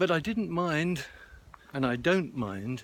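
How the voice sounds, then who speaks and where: A man at a fairly slow pace, with very wide pitch swings. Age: 70s. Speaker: vlogger. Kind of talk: personal video monologue. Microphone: wind distortion at times.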